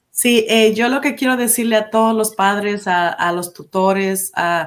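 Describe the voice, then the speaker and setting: In a Spanish accent, a woman speaks at a moderate pace with fairly even intonation. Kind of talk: interview on live stream. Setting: live stream. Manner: halting, many fillers in English.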